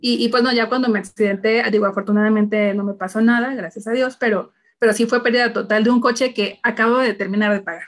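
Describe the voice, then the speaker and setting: A woman with a fairly high pitch speaks very fast, her intonation fairly even. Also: hardly any pauses. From Mexico City. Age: 30s. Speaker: human resources executive and single mother. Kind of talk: casual interview chat.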